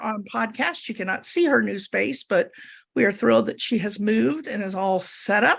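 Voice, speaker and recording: Recorded very cleanly against a silent background, a woman talks at a moderate pace with vocal fry. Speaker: podcast co-host. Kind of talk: casual chat.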